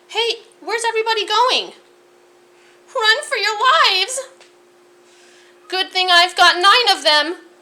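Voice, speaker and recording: A woman uses a squeaky put-on character voice at an extremely high pitch. Her pace is moderate, broken by long, frequent pauses. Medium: read story. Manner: sassy, wisecracking.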